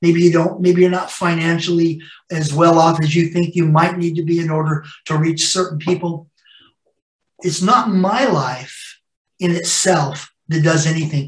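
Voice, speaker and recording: A man's high-pitched voice in a West Coast American accent, with fairly even intonation at a moderate pace. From US West Coast, Los Angeles. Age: 60s. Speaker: pastor. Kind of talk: sermon. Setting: church.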